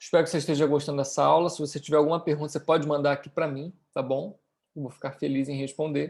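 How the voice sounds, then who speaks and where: The man's pitch is fairly high. He talks at a very fast pace with monotone, flat intonation. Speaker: business teacher. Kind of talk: lecture.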